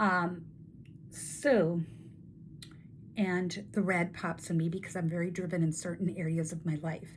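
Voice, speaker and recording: A woman speaks with a fairly low pitch. Her voice is somewhat breathy. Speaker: network marketing coach and video host. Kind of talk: casual talking-head tutorial. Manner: animated.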